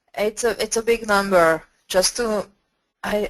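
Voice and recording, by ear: At a fairly slow pace, a woman is speaking.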